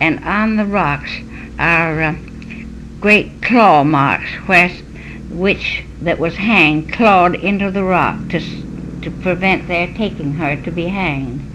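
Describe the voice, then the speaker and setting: Against noticeable background noise, a woman with an American accent speaks very slowly at a fairly low pitch, with ordinary pitch variation and long, frequent pauses. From Connecticut, USA. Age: 80s+. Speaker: local historian, historical society curator. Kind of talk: oral history interview answer.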